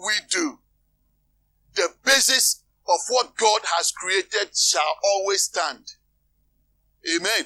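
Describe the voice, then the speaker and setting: At a very slow pace with long, frequent pauses, a man speaks in a high pitch with a bright, sharp tone and lively intonation, the sound dry and close with no echo. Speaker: preacher. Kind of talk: sermon. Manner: calm, not emotional.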